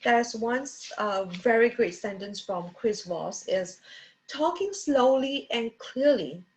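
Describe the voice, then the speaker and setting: A woman with an unremarkable speaking voice and a fairly high pitch talks at a fairly slow pace with lively intonation over a quiet background. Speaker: book review vlogger. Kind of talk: book review talk.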